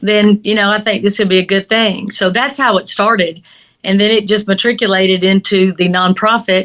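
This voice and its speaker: A woman speaks at a moderate pace and medium pitch in a Southern US accent, her loudness very even. Her intonation is monotone and flat. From US South. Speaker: crime scene investigator and instructor. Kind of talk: interview.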